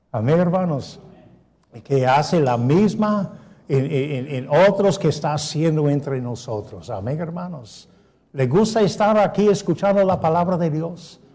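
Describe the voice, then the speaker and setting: A fairly slow, non-native accent with lively intonation, a dark, mellow tone and audible room echo. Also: man, fairly high pitch for a man. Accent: non-native Spanish, self-described poor. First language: English (speaking Spanish). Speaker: pastor. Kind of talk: sermon.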